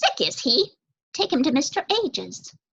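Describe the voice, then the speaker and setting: A woman's high-pitched, put-on character voice with very wide pitch swings, at a moderate pace, dry and close with no echo. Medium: read story. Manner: brisk, grumbling.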